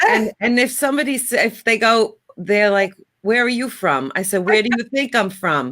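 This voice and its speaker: Here a woman talks with a strong New York accent at a moderate pace. Her fairly high voice has a bright, sharp tone and lively intonation. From New York, Long Island area. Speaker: kitchen and bath designer. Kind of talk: casual chat.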